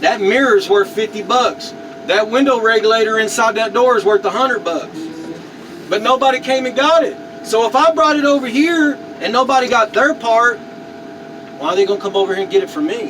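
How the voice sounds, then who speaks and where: Speaking with an American accent, this voice moves at a fairly quick pace with lively intonation over noticeable background noise. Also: man, extremely high pitch for a man. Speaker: car crusher, military veteran, YouTuber. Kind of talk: casual vlog talk to camera.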